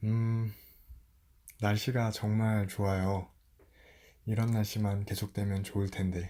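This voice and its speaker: Very slowly, a man speaks in a dark, mellow, fairly low voice with monotone, flat intonation and long, frequent pauses. The recording is very clean, with a silent background. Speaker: storyteller. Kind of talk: casual chat to listener. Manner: soft-spoken.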